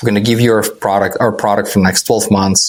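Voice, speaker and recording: A man with a non-native accent talks at a medium pitch with fairly even intonation. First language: not English. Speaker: startup founder. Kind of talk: podcast interview.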